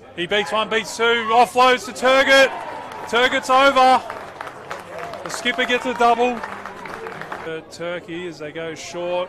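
Over crowd noise in the background, a man raises and projects his voice at an extremely high pitch with lively intonation. He goes at a fairly slow pace with long, frequent pauses and big swings in loudness. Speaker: rugby league commentator. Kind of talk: live sports commentary on a match, play-by-play. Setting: rugby league match broadcast.

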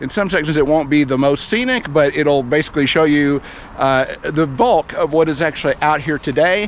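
The speech moves at a moderate pace with ordinary pitch variation. The sound is dry with no echo, over light background noise. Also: man. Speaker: cycling vlogger. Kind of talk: casual vlog chat. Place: open country. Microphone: phone near.

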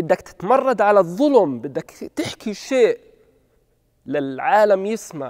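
Very slowly, a man speaks against a quiet background. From Gaza, Palestine (Beit Hanoun); Gaza, Palestine. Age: 30s. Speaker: documentary subject. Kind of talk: personal testimony. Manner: halting. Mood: reflective, serious. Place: stage. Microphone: lapel.

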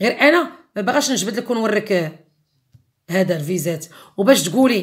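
A woman talks with lively intonation. The background is quiet. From Morocco. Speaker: YouTuber. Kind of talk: angry rant video. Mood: angry, defiant. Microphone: phone near.

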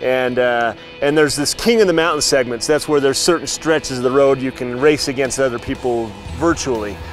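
Faint music plays in the background. A man speaks over it at a moderate pace. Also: dry sound with no echo. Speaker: TV host interviewer. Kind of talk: interview questions. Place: street. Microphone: lapel.

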